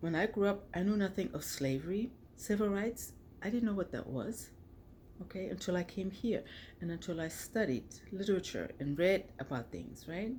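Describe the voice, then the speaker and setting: A woman speaks at a medium pitch with lively intonation and a moderate pace. Her tone is dark and mellow, and somewhat breathy. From Germany. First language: German. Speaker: author and vlogger. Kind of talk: personal vlog monologue. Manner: conversational, frequent 'okay' and 'right' tags.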